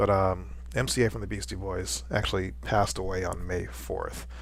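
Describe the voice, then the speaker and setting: With very wide pitch swings and vocal fry, a man talks in a very deep, low voice. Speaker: visual artist. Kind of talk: casual talk to camera.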